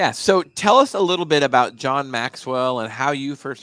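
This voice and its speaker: A man's normal speaking voice at a medium pitch, with ordinary pitch variation and a moderate pace. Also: very clean recording, silent background. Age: 50s. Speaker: podcast host. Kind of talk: casual interview. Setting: studio.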